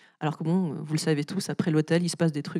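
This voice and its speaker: A woman talks at a fairly low pitch. The sound is dry and close, with no echo. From France. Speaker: author. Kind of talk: literary talk with audience. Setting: festival stage with audience. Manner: frequent hesitations (euh).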